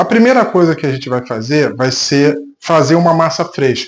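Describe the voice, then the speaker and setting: The man's voice sits fairly high. He talks at a moderate speed. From Brazil, Rio de Janeiro. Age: 60s. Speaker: home cook, reality show applicant. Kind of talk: cooking tutorial; audition self-presentation.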